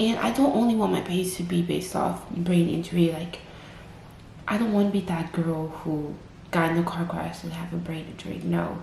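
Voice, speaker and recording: Audible room echo surrounds a woman whose voice sits at a fairly low pitch with ordinary pitch variation. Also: moderate pace. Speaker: vlogger. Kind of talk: personal testimony vlog. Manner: slightly impaired, halting speech; casual, filler-heavy.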